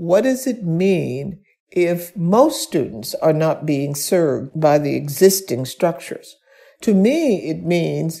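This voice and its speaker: This voice has a dark, mellow tone and vocal fry, with an American accent. Its pitch swings very widely. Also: woman. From US South, Birmingham, Alabama. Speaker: science policy director. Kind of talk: interview.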